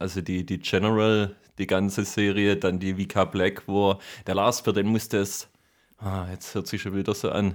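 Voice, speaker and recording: A man's fairly low voice with monotone, flat intonation and a slight Swabian accent, on a very clean recording with a silent background. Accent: light Swabian dialect. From Swabia, southern Germany. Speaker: podcast host. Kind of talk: casual chat. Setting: home studio.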